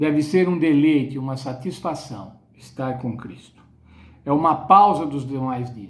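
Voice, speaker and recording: A man at a very slow pace. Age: 70s. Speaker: Bible study teacher. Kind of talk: sermon-style Bible lesson.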